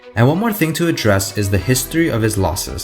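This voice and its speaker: The intonation is lively and the pace fairly quick. Music plays in the background. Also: man. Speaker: arm wrestling analyst. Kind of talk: sports analysis narration.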